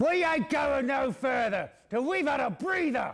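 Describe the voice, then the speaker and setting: In a put-on character voice pitched extremely high, a man speaks at a moderate pace. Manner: gruff, coarse.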